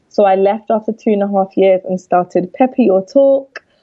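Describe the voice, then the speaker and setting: At a moderate pace, a woman with a London accent speaks at medium pitch. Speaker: fashion entrepreneur. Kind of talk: interview.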